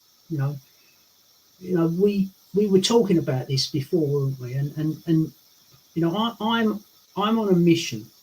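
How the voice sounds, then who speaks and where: A high-pitched man's voice with an English accent, broken by long, frequent pauses. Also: moderate pace. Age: 60s. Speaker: lifestyle coach. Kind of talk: interview chat. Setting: live stream. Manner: animated.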